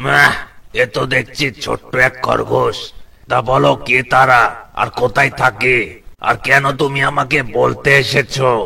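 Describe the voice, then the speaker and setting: A man puts on a cartoonish character voice at a medium pitch. He speaks at a fairly slow pace. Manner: gruff, commanding.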